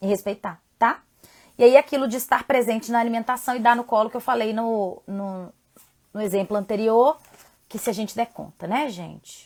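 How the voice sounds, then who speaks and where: This woman's voice sits fairly high, with ordinary pitch variation. Her loudness swings widely. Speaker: parenting educator and live host. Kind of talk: live stream talk. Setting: live stream from home. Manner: fast.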